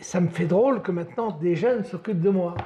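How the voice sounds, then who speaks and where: Ordinary pitch variation marks a man's voice, which carries a dark, mellow tone. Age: 80s+. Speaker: elderly person visited by volunteers. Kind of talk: casual conversation.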